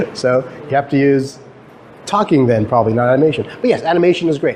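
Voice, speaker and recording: With a Canadian accent, a man talks at a fairly quick pace amid noticeable background noise. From Guyana. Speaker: professor. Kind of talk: lecture. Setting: stage with audience. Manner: fast; halting.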